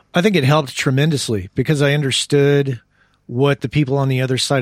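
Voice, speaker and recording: A man with an unremarkable speaking voice talks at a fairly quick pace and medium pitch, the sound dry and close with no echo. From US Southwest (southern New Mexico). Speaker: audio engineer and podcast host. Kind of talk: casual interview. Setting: Skype call.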